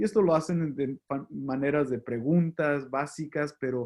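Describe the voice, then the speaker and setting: This man talks at a fairly slow pace with a slight non-native accent. His voice is fairly high. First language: English (speaking Spanish). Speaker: pastor. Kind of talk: lecture. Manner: halting.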